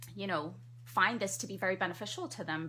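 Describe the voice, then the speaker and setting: A woman speaks with a bright, sharp tone. Vocal fry runs through her voice. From Trinidad. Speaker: family physician. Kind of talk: radio interview. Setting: studio. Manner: fast.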